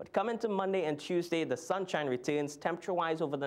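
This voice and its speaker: Upbeat in tone, a man talks at a very fast pace with ordinary pitch variation. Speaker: TV weather presenter. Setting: TV studio. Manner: brisk, upbeat and conversational, steady newsreader pacing; clear explanatory tone with occasional filler hesitations. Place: studio.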